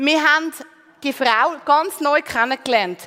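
A woman's raised, projected voice at a high pitch and fairly slow pace, with noticeable background noise. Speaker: preacher. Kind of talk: sermon. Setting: church stage with congregation.

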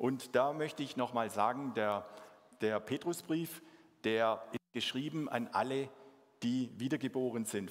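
The man's medium pitch varies in an ordinary way while his delivery stays fairly slow. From Swabia, southern Germany. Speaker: mission organization leader, guest preacher. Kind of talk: sermon. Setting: church service with congregation.

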